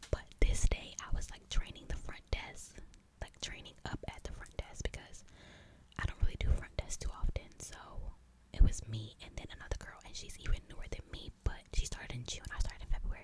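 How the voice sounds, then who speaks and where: Someone is whispering. The pace is fairly quick. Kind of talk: ASMR whisper ramble; casual storytelling to camera. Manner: whispered.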